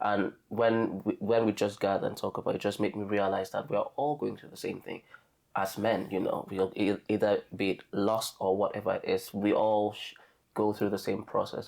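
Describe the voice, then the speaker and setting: A man speaks with a Nigerian accent. His pace is moderate. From Nigeria, southern Efik region. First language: Efik. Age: 30s. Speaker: podcast guest sharing testimony. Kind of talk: casual chat. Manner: halting.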